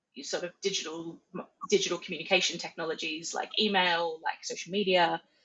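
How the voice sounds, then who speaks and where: A woman speaks at a medium pitch with an Australian accent. Her pace is moderate and her pitch variation ordinary. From Australia, Central Coast NSW. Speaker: charity marketing director. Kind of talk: podcast interview.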